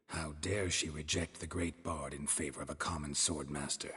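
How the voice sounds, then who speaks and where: A man puts on a character voice with a very deep, low pitch and a deadpan tone. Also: moderate pace. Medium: video game. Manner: dry, terse, deadpan.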